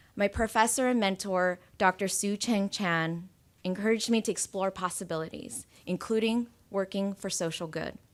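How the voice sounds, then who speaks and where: In a very clean recording with a silent background, a woman with a General American accent speaks at a moderate pace, medium pitch and fairly even intonation. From US West Coast, Oakland. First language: Cantonese. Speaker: school board appointee. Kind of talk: acceptance speech.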